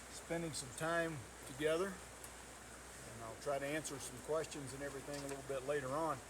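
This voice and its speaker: In a room with audible echo and noticeable background noise, a man with a North Georgia accent speaks at a fairly high pitch with fairly even intonation. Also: moderate pace. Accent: Southern US (North Georgia). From US South, North Georgia. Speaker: county commissioner, retired naval officer. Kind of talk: public talk at a meet and greet. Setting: home gathering with audience.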